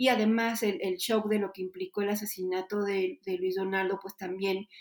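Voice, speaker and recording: This woman's voice sits at a medium pitch and moves at a moderate pace. Her intonation is monotone and flat. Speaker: politician. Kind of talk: interview.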